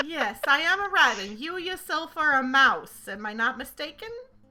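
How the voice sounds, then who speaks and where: Putting on a character voice, a woman speaks at a moderate pace with a high pitch. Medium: actual play. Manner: casual, drawling, hesitant with many fillers.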